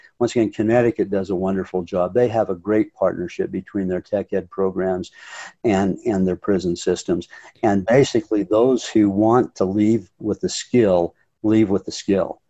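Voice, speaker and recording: With an American accent, a man speaks in a fairly low, dark, mellow voice with fairly even intonation, the sound dry and close with no echo. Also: moderate pace. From Utah (North Ogden). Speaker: political candidate. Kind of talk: interview.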